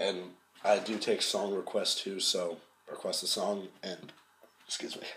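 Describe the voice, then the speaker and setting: Taking long, frequent pauses, a man talks at a fairly slow pace in a relaxed tone over light background noise. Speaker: amateur metal vocalist. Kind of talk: tutorial. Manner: hesitant, filler-heavy; casual, relaxed. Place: home room. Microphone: webcam.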